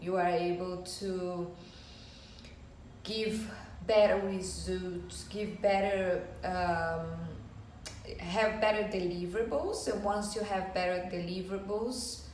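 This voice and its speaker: A woman with a Brazilian Portuguese accent, very slow pace, long and frequent pauses and fairly even intonation, amid audible room echo and noticeable background noise. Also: medium pitch for a woman. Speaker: business owner. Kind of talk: informal talk to camera. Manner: halting.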